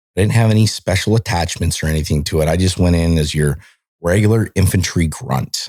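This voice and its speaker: Speaking with an American accent, a man with a very deep, low pitch talks at a fairly quick pace in an animated tone, with ordinary pitch variation and very even loudness, on a very clean recording with a silent background. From Montana, US. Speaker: military veteran. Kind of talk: casual chat.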